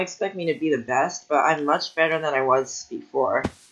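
The man's voice is fairly high-pitched, with ordinary pitch variation. Music plays behind his moderately paced speech. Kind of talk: casual gameplay commentary.

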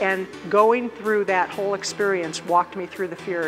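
With clear music in the background, a woman in an American accent speaks at a moderate pace with an energetic tone. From United States. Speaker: motivational speaker. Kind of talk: keynote speech. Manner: energetic, powerful. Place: stage.

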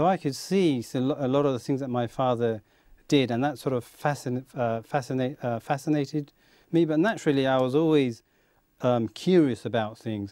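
With a dark, mellow tone at medium pitch, a man talks at a moderate pace with ordinary pitch variation, the sound dry with no echo against a quiet background. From Kent, England (born in Bangladesh); Kent, England. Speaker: aerospace engineer; talk show guest. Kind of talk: interview. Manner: hesitant. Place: studio. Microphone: lapel.

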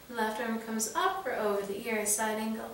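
A woman's voice amid noticeable background noise. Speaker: yoga instructor. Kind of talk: guided yoga class, instructions. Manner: calm, soothing; brisk rhythmic counting cues during exercise.

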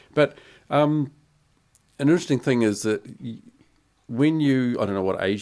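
A man with a New Zealand accent and lively intonation at a moderate pace, against a quiet background. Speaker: podcast host. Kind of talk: casual chat. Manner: halting. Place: studio. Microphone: studio mic.

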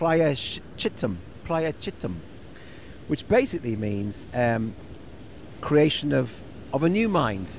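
Light background noise sits under a man talking at a fairly slow pace, and the sound is dry with no echo. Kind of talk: casual reflective chat. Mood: relaxed, thoughtful. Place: garden. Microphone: handheld.

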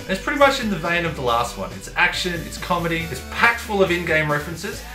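Over clear background music, a man speaks at a very fast pace. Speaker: filmmaker. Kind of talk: casual talk to camera. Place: home room.

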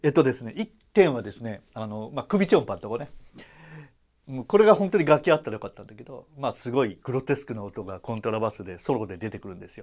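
A man speaks at a very fast pace with very wide pitch swings. His loudness also swings widely. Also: quiet background. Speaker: double bass player and YouTuber. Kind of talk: casual vlog talk. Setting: at home. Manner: many fillers, rambling run-on speech. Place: hall. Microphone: lapel.

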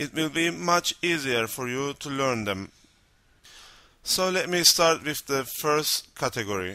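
On a very clean recording with a silent background, a man with a Turkish accent speaks very slowly in a bright, sharp tone with lively intonation. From North Cyprus. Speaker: language teacher. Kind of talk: educational lesson narration.

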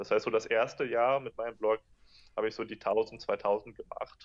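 The speaker is a man at a moderate pace. Behind him the background is quiet. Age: 20s. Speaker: entrepreneur and blogger; interview guest, entrepreneur blogger. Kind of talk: interview. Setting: video call.

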